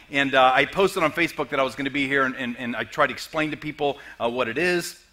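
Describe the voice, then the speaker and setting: Amid noticeable background noise, a man speaks at a very fast pace with ordinary pitch variation. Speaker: comedian and motivational speaker. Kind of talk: sermon. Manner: halting.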